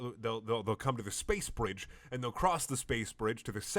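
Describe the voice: What you hear is plain reading aloud.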